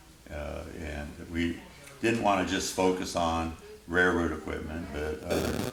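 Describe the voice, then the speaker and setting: Music plays behind a man whose very deep, low voice holds fairly even intonation. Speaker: railroad museum restoration manager. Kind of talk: oral history interview answer. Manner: casual, hesitant with fillers.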